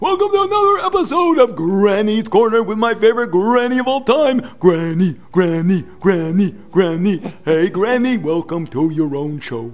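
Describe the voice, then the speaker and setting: A man does a cartoonish character voice at a high pitch. He keeps a moderate pace with hardly any pauses over light background noise. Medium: puppet. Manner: eager, upbeat.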